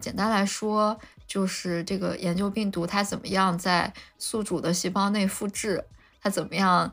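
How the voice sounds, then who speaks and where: A woman at medium pitch and a fairly slow pace, in a monotone, flat intonation. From Lanzhou, northwest China. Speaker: molecular biology PhD, biotech researcher. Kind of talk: casual interview chat. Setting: remote online recording.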